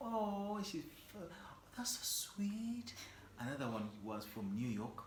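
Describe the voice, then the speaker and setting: A high-voiced man speaks at a very slow pace with very wide pitch swings. Audible room echo and noticeable background noise fill the recording. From Uganda. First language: Luganda. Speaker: singer-songwriter. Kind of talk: casual chat.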